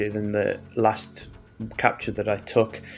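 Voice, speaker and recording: A man delivers his words at a fairly slow pace while music plays in the background. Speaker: amateur astronomy youtuber. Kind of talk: casual video narration. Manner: hesitant, many fillers.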